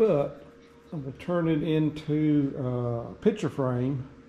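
The speech moves at a very slow pace. Loud noise fills the background. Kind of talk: casual vlog chat. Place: workshop. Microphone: phone near.

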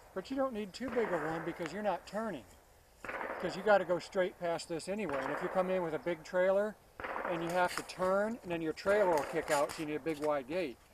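Against noticeable background noise, a man speaks at a fairly quick pace with a dry sound and no echo. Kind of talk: casual conversation. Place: open country. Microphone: camera far.

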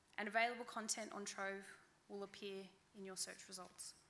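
Her accent is Australian. The woman's delivery is fairly quick. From central New South Wales, Australia. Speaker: library outreach officer; conference presenter. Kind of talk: conference talk. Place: hall. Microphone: podium.

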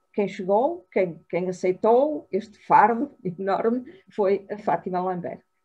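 A somewhat breathy woman speaking at a very slow pace. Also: long, frequent pauses. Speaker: webinar host or presenter. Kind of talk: welcome introduction at online event. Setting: video call. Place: kitchen. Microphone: video call.

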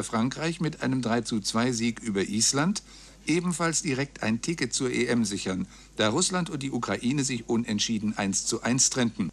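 The speech moves at a moderate pace with lively intonation and very even loudness. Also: man. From Germany. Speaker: radio news announcer. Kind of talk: radio news reading. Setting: radio broadcast, 1999 recording. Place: booth. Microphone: studio mic.

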